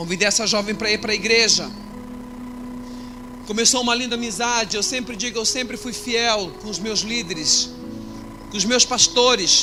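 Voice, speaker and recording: With music in the background, a man uses a raised, projected voice at a high pitch with fairly even intonation and long, frequent pauses. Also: moderate pace. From Brazil, Cuiabá, Mato Grosso. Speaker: pastor. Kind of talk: testimony.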